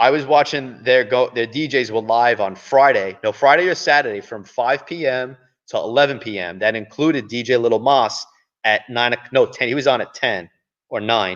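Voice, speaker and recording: A man speaks at a medium pitch. His pace is moderate, with ordinary pitch variation. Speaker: live stream host. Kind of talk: casual live stream chat. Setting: live stream from a performing arts venue. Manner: loud.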